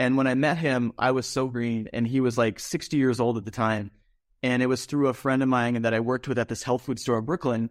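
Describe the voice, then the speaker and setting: A man with an American accent talks at a fairly quick pace in an ordinary speaking voice at a medium pitch. His intonation is fairly even, his loudness very even, and the recording very clean with a silent background. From Minnesota, St. Paul. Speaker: musician and casting director. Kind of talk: interview, life story.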